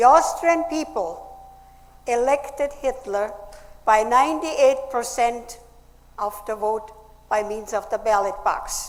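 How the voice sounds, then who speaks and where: Over noticeable background noise, a woman with a fairly high pitch and ordinary pitch variation speaks at a fairly slow pace with long, frequent pauses. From Austria. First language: German. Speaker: speaker, Nazi-era survivor. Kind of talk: public speech.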